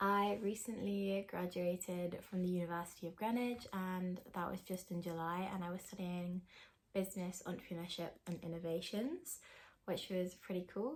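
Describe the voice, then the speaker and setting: With a southern English accent, a woman speaks at a moderate pace using fairly even intonation. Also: medium pitch for a woman. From England, countryside outside London. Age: 20s. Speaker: vlogger. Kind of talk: casual Q&A vlog talk.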